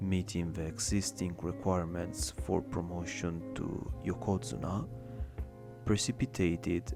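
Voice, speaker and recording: Over music in the background, a man with a non-native accent speaks at a fairly slow pace in a very deep, low pitch with very wide pitch swings. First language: not English. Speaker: ASMR reader. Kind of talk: ASMR reading of an academic text. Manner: soft-spoken.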